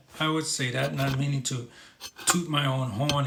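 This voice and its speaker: Speaking at a fairly slow pace, a man has a fairly high pitch. He talks in a New York accent. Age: 50s. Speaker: talk show host. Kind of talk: live stream chat reading viewer comments.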